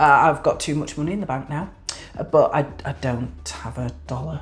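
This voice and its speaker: Woman with a Yorkshire accent at a moderate pace, with music in the background. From northern England, Yorkshire. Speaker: YouTuber. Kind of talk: tutorial. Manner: hesitant with fillers.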